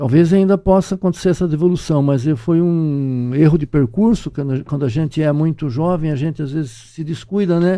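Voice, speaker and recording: In a quiet background, a man with a dark, mellow tone and a fairly high pitch speaks at a moderate pace with ordinary pitch variation. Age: 60s. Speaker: UFO researcher, professor. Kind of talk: podcast interview. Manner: halting, repetitive.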